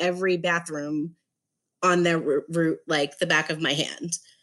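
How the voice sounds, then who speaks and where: On a very clean recording with a silent background, a woman with an American accent speaks in a fairly low pitch with a bright, sharp tone. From New York City, Staten Island. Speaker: public relations professional and patient advocate. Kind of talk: interview.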